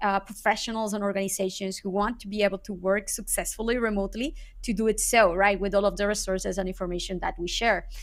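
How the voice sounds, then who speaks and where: A woman with a Spanish accent, flat monotone delivery, and a fairly quick pace, on a very clean recording with a silent background. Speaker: SEO consultant. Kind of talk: interview. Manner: halting, with many repeated words.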